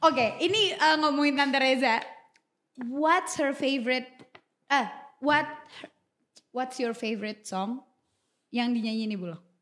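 With lively intonation and an animated tone, a woman speaks at a high pitch and a moderate pace, leaving long, frequent pauses while her loudness swings widely. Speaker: podcast host and YouTuber. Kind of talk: casual chat. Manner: animated, code-switching English and Indonesian.

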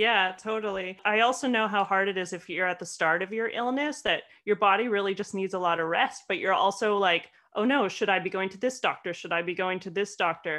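This is an ordinary speaking voice, belonging to a woman with a Canadian accent. Her pitch is medium and varies in an ordinary way. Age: 30s. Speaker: podcast co-host with chronic fatigue. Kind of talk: casual chat.

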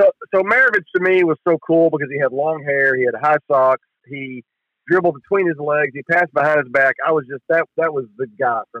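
A man with a normal speaking voice and an American accent talks at a fairly quick pace, his fairly high pitch moving with ordinary variation while his loudness swings widely. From Texas, Dallas area. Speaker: sports journalist. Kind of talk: casual chat. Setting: phone call.

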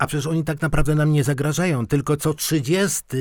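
A man talks at a moderate pace in an unremarkable speaking voice, fairly high in pitch. The recording is very clean, with a silent background. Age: 60s. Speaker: podcast co-host. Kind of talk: casual discussion. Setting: radio studio.

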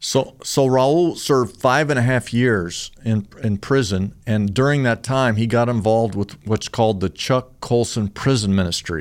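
A man's ordinary speaking voice, medium in pitch with ordinary pitch variation, in an American accent, at a moderate pace with hardly any pauses and very even loudness, in a very clean recording with a silent background. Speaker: pastor. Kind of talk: preacher telling a testimony story to listeners. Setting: podcast studio.

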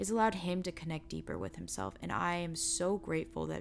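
Music plays behind a woman as she talks. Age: 20s. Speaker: spiritual podcast host. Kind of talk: casual monologue.

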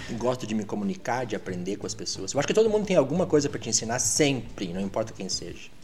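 A man of medium pitch talks very fast, with hardly any pauses. His intonation is lively, and there is noticeable background noise. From Brazil, Rio Grande do Sul (Alegrete, near the Argentine and Uruguayan border). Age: 50s. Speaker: English teacher. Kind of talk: casual chat.

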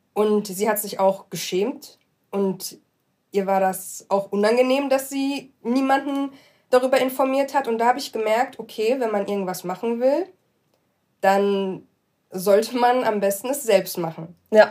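A woman's dark, mellow voice with ordinary pitch variation, on a very clean recording with a silent background. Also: fairly high pitch for a woman, fairly slow pace. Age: 20s. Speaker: law graduate aspiring to human rights law. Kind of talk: casual interview.

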